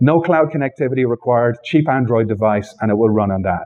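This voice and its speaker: The man's intonation is lively. He moves along at a fairly quick pace. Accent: Irish. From Ireland. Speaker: software developer advocate. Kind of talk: tech talk. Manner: conversational.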